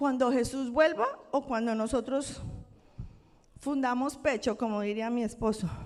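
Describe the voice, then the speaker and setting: Speaking at a fairly slow pace with long, frequent pauses, a woman with a Colombian accent uses a high voice and fairly even intonation. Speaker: pastor. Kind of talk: sermon. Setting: church.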